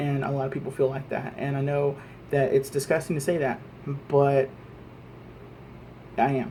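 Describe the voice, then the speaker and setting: With an American accent, a man speaks at a fairly high pitch in a monotone, flat intonation, leaving long, frequent pauses against noticeable background noise. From Texas, Lubbock. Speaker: vlogger. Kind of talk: political rant monologue. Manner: fast; halting, repetitive.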